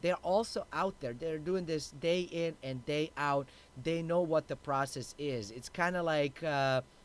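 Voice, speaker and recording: This man's voice sits fairly high, moving at a fairly slow pace with ordinary variation in pitch. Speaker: finance and real estate livestream host. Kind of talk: live-streamed commentary. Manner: loud, shouting when excited; animated.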